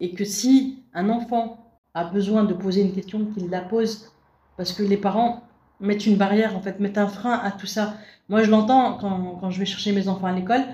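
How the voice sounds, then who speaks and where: Fairly even intonation marks an unremarkable speaking voice that keeps to a moderate pace. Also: woman, medium pitch for a woman. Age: 40s. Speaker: visual impairment awareness facilitator. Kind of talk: interview.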